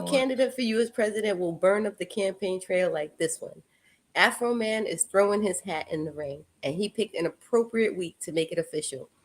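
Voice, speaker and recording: A woman talks at a fairly quick pace with a slight Puerto Rican accent. Her pitch sits in the medium range. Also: lively intonation. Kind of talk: news anchor delivery.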